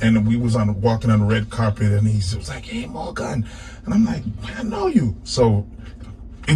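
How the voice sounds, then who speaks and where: A man speaks at a fairly quick pace with a fairly low pitch. Noticeable background noise is present. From New England. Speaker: reggae musician. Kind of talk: radio interview.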